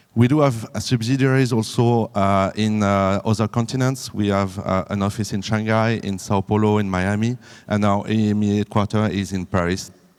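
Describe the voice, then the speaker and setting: The speaker talks in a French accent at a moderate pace. The intonation stays fairly even. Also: man, fairly low pitch for a man. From France. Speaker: business development manager. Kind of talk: conference presentation. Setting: conference room with audience. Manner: halting, many fillers.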